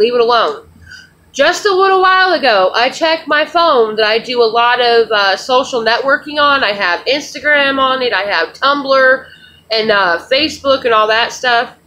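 With a bright, sharp tone, a woman speaks at a moderate pace in a high pitch with lively intonation. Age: 30s. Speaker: vlogger. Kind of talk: casual vlog rant. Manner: animated. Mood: frustrated, indignant. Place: home room. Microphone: webcam.

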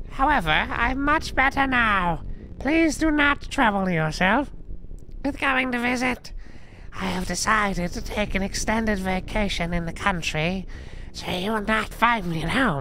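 A put-on character voice at a fairly high pitch and moderate pace, over clear background noise. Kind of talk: formal, polite.

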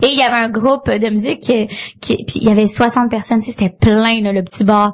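Speaking with a Quebec accent, a woman uses a fairly high pitch. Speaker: comedian. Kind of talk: casual chat.

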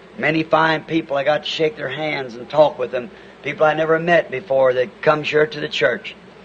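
A man's speech comes with light background noise. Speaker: preacher. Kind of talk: sermon announcements. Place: church. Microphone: old recording.

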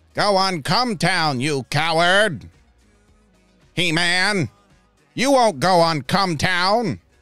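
Over faint background music, a man does a put-on character voice, pitched high and delivered at a very slow pace. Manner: sneering, taunting.

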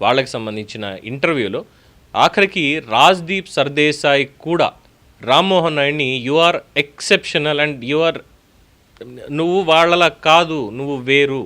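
With a bright, sharp tone, a man speaks at a fairly high pitch with ordinary pitch variation. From Telugu states, India. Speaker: political news commentator. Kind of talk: news commentary monologue.

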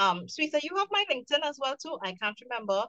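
A woman with a Trinidadian accent, high-pitched and bright, sharp in tone, with very wide pitch swings and a fairly quick pace in a dry, close sound with no echo. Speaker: waste management entrepreneur, panel moderator. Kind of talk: panel discussion.

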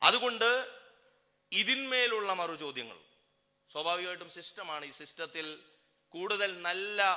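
With audible room echo, a man speaks in a high, bright, sharp voice with lively intonation. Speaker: activist speaker. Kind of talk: political speech. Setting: public rally stage.

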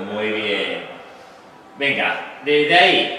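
A man speaks in a space with strong room echo. Light background noise sits underneath. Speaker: fitness instructor. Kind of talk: exercise class instruction. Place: gym. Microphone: camera far.

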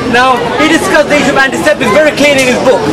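Over crowd noise in the background, a man speaks with ordinary pitch variation. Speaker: presenter. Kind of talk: educational demonstration talk to audience. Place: tent. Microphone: camera far.

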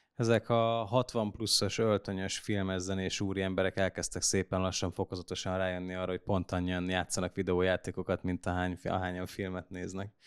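A man with very deep, low pitch speaks at a fairly quick pace with hardly any pauses and monotone, flat intonation. The sound is dry with no echo, against a quiet background. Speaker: esports commentator; podcast host. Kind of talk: casual panel chat about gaming news. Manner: hesitant, many fillers and repetitions. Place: studio. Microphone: studio mic.

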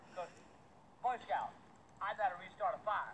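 Over light background noise, a man speaks with a high pitch and ordinary pitch variation. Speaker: backyard vlogger. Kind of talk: casual vlog rant. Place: garden.

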